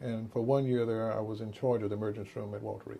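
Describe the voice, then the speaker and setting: A man with an American accent, very fast pace and monotone, flat intonation. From Texas, Dallas. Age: 60s. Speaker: physician. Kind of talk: interview.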